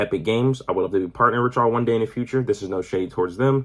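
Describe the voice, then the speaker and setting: A man talks at a very fast pace. His pitch sits in the medium range. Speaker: gaming YouTuber. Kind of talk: casual rant to camera. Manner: animated.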